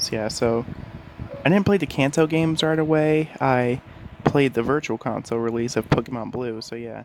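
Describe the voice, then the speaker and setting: A man speaks quietly at a moderate pace with fairly even intonation over noticeable background noise. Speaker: gaming YouTuber. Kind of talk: casual gaming talk to camera. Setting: home bedroom. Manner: quiet, keeping voice down.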